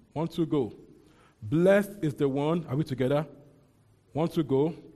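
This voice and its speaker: Somewhat breathy, a man speaks with a dark, mellow tone and a fairly high pitch. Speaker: preacher. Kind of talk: sermon. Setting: church. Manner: fast talker.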